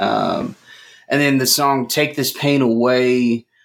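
A man with an American accent, a plain, everyday voice, medium pitch, fairly even intonation and a fairly slow pace. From North Texas, Fort Worth area. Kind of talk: casual chat. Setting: online remote recording.

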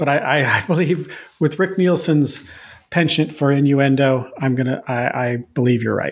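At a moderate pace, a man with a fairly high pitch and ordinary pitch variation talks in a normal speaking voice. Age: 50s. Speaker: music podcast co-host. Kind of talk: casual chat.

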